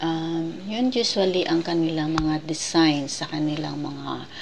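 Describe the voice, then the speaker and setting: A woman speaks very slowly in a very deep, low voice. Noticeable background noise runs underneath. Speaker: travel vlogger. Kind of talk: casual museum tour narration. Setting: indoor museum room.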